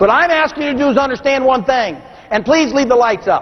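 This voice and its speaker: Noticeable background noise sits behind a man's voice. He speaks at a fairly quick pace with an extremely high pitch. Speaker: motivational speaker. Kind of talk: keynote seminar speech. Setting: stage with audience. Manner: animated.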